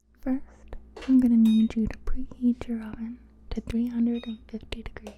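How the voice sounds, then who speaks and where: A woman talks at a moderate pace with fairly high pitch and monotone, flat intonation. Her loudness swings a lot. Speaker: ASMR creator, cooking host. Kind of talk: cooking tutorial ASMR, casual talk to camera. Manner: soft-spoken, relaxing.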